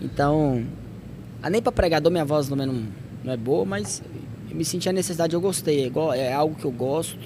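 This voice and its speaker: In a room with audible echo, a man with a fairly high pitch speaks at a fairly quick pace with lively intonation. He leaves long, frequent pauses. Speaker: podcast host. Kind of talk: casual chat.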